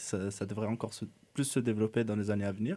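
Speaking at a very fast pace, a man with a dark, mellow tone keeps his intonation fairly even in a very clean recording with a silent background. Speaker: urban planning student. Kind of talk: radio interview. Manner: halting.

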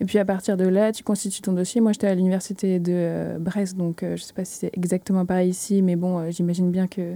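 Her voice dark and mellow, a woman speaks at a medium pitch and fairly quick pace in a monotone, flat way with hardly any pauses, on a very clean recording with a silent background. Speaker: master's student. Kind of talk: casual chat. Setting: studio.

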